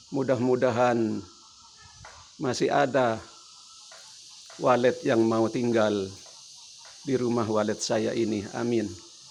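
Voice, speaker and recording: A man speaks at medium pitch with fairly even intonation and very even loudness, at a very slow pace with long, frequent pauses. Noticeable background noise sits underneath. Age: 70s. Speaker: elderly vlogger. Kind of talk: casual monologue. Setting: at home.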